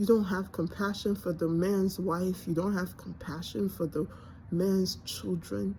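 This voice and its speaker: This woman has a Nigerian accent. She speaks at a fairly slow pace. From born in Nigeria, grew up in the US. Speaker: vlogger. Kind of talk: personal monologue. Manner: halting.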